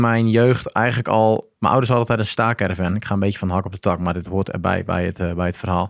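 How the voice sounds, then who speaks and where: A man with a fairly low voice talks at a fairly quick pace with ordinary pitch variation, sounding dry with no echo against a quiet background. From Groningen, northern Netherlands; northern Netherlands. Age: 30s. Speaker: former marine special forces diver; podcast guest. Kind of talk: casual interview, personal story. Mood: relaxed storytelling. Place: studio. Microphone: studio mic.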